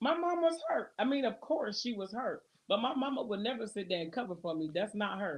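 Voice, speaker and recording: Somewhat breathy and fairly high in pitch, a woman speaks at a fairly quick pace with very wide pitch swings. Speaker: married couple podcast co-host. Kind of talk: casual chat.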